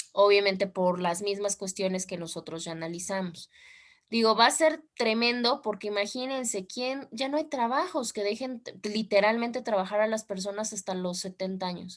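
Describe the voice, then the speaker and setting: A woman talks at a moderate pace. Her pitch is medium, with ordinary variation. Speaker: law teacher. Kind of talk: online class lecture.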